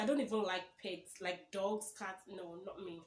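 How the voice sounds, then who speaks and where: A woman speaks with a Nigerian accent. Her pitch varies in an ordinary way. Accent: Nigerian (Yoruba) English. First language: Yoruba. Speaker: YouTuber. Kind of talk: casual vlog chat. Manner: conversational, self-correcting.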